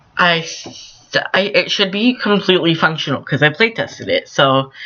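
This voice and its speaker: Moderate pace against noticeable background noise. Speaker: gaming YouTuber (Sims builds). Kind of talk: voice-over commentary on speedbuild. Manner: halting, stuttering with fillers; casual, conversational.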